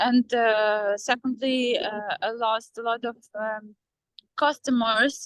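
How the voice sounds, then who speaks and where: A woman with a Ukrainian accent speaks at a very slow pace with fairly even intonation, in a dry, close sound with no echo. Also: fairly high pitch for a woman. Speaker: former baker, mother. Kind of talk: interview. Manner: halting, many fillers.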